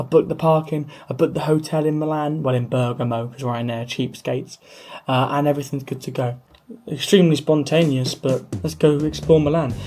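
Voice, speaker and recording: With a southern English accent, a man talks at a fairly quick pace in a fairly high pitch. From England. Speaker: travel vlogger. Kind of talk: travel vlog narration. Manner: casual, animated.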